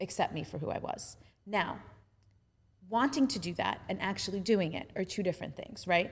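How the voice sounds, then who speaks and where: Here a woman speaks at a moderate pace. Her pitch is medium, with ordinary variation. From Staten Island, New York. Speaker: embodiment teacher. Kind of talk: casual chat.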